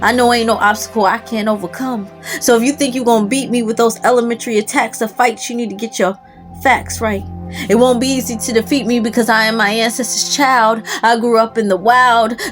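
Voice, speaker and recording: With music in the background, a woman speaks at a fairly quick pace in a fairly high pitch and monotone, flat intonation. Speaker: spoken word poet. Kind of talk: spoken word poetry performance.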